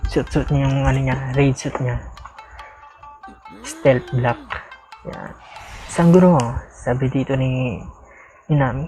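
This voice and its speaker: A woman's very deep, low-pitched voice with music in the background. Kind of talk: casual manga reading and reaction. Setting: home with background noise, dogs barking.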